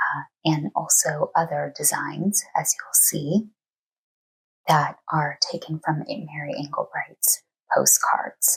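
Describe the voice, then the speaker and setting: Soft-spoken and very slow, a woman is heard in a dry, close sound with no echo. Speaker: cross stitch YouTuber (flosstube). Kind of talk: casual talk to camera, craft book flip-through.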